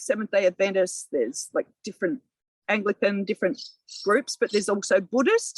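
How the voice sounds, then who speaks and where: A woman with an Australian accent. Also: dry, close sound with no echo. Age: 60s. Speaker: local councillor. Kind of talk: podcast interview. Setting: outdoors in a community garden.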